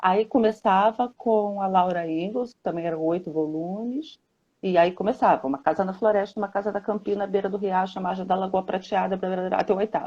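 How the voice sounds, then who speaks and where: A woman with an unremarkable speaking voice talks at a fairly quick pace, medium in pitch, with ordinary pitch variation. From Brazil, Rio de Janeiro. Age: 60s. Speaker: children's book author. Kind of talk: interview on a live stream. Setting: Instagram live video call.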